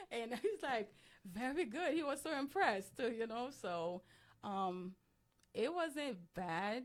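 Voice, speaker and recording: A woman with a slight Haitian accent speaks at a high pitch. Her pace is very slow and her pitch swings are very wide. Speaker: law enforcement professional. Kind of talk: interview. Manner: halting.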